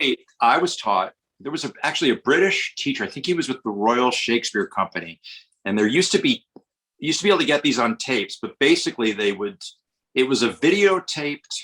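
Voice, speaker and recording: Very fast and fairly high, a man with an American accent talks in a bright, sharp tone with very wide pitch swings, the sound dry and close with no echo. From US Northeast, Westchester north of New York City. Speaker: actor. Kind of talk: podcast interview, casual chat.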